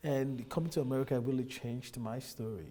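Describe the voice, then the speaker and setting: A man with a Nigerian accent speaks at a moderate pace in a dark, mellow tone. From Nigeria, Lagos. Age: 30s. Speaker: immigrant businessman. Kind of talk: interview.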